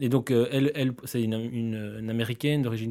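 With a dark, mellow tone and monotone, flat intonation, a man speaks at a fairly quick pace on a very clean recording with a silent background. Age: 30s. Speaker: grocery store founder. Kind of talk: interview. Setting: office studio.

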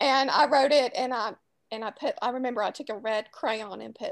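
A woman with a Southern US accent talks at a moderate pace and high pitch, recorded dry and close with no echo. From New Orleans, US South. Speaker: author. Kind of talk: casual interview chat.

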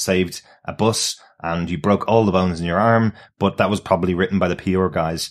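A man speaks with a very deep, low pitch at a fairly quick pace. The recording is very clean, with a silent background. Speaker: podcast host. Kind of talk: casual podcast chat reviewing a TV episode. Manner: chatty, laughs often.

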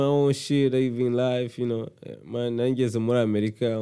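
Speaking at a moderate pace, a man with a Rwandan accent has a dark, mellow tone. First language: Kinyarwanda. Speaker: rapper. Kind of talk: casual chat.

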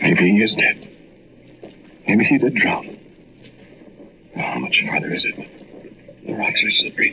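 A man puts on a character voice at medium pitch, with a bright, sharp tone and very wide pitch swings. He talks at a fairly slow pace with long, frequent pauses, and room echo is audible.

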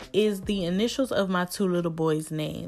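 On a very clean recording with a silent background, a woman speaks with an American accent. Her pitch is fairly low with ordinary variation, and her pace is moderate. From US Midwest, Cleveland, Ohio. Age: 20s. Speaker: podcast host, small business owner. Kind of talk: casual solo monologue.

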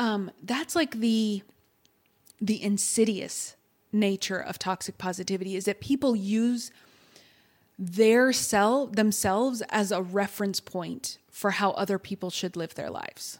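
With an American accent and an ordinary speaking voice, a woman speaks at a medium pitch and fairly slow pace with ordinary pitch variation. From Texas. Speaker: therapist or coach. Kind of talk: podcast interview.

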